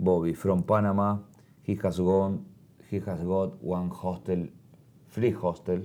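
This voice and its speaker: A man speaks at a very deep, low pitch with a dark, mellow tone. His intonation is fairly even, broken by long, frequent pauses. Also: fairly slow pace. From Argentina. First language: Spanish. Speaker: motorcycle traveler. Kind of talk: interview. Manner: halting.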